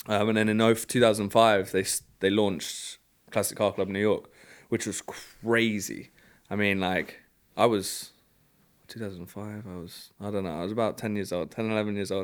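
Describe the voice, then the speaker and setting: A man speaks fairly slowly in a London accent, his voice fairly low and flatly monotone. The recording is very clean, with a silent background. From London, England. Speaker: car club executive. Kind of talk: casual chat.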